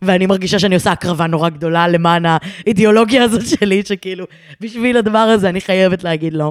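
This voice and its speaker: The speaker is a woman with a medium pitch. Her words come out at a very fast pace. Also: ordinary pitch variation. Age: 20s. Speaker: content creator and podcaster. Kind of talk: casual interview.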